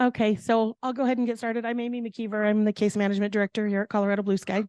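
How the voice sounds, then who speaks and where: A woman speaks very fast in a flat monotone at a fairly high pitch, her voice dry and close with no echo. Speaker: case management director. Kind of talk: town hall meeting. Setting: meeting room with audience and online viewers.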